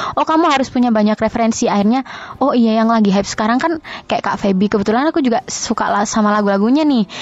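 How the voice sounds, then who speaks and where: Talking at a very fast pace, a woman with a fairly high pitch keeps very even loudness and ordinary pitch variation amid noticeable background noise. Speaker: singer. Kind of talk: interview.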